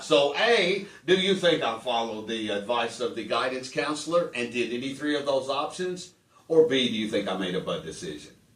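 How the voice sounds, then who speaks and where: Very wide pitch swings from a man at a medium pitch, moderate pace and noticeable background noise. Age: 60s. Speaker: comedian and podcast host. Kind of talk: casual chat.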